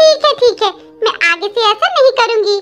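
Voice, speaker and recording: Over faint background music, a woman does a squeaky, cartoonish character voice at an extremely high pitch, keeping a moderate pace and very even loudness. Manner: cheeky, sly.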